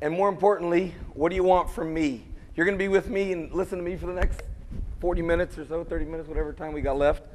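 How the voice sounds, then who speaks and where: A high-pitched man at a very fast pace, fairly even intonation, audible room echo and noticeable background noise. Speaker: entrepreneur and motivational speaker. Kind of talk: lecture. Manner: loud. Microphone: no mic.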